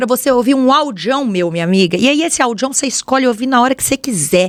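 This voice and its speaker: A woman speaks very fast in a Minas Gerais accent. Her high voice has lively intonation. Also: dry, close sound with no echo. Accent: mineiro accent from Belo Horizonte. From Brazil, Belo Horizonte (Minas Gerais). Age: 20s. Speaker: podcast host and fashion influencer. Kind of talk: casual solo podcast monologue. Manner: chatty, informal.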